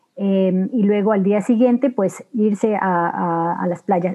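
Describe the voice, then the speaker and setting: A woman with a medium pitch and ordinary pitch variation talks while noticeable background noise runs underneath. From Ecuador, Los Ríos province and Guayaquil. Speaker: nature and travel guide. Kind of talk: casual interview. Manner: halting, many repetitions.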